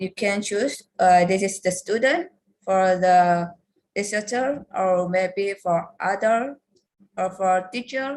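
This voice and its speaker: Very slowly, a woman speaks with an Indonesian accent. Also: medium pitch for a woman, ordinary pitch variation. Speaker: lecturer. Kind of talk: workshop presentation.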